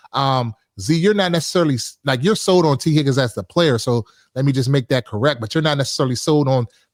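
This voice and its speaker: An unremarkable speaking voice from a man, fairly high in pitch with lively intonation, in a very clean recording with a silent background. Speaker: sports podcast host. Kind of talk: casual sports talk. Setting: live stream.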